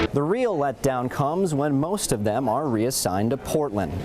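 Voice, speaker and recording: A man speaks with music playing in the background. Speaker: sports TV journalist and anchor. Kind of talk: sports news anchor read, upbeat and fast-paced broadcast delivery.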